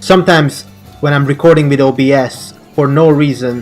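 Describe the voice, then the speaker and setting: With music in the background, a man speaks at a moderate pace in a fairly high pitch and fairly even intonation. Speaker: gaming video creator. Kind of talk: casual let's play commentary.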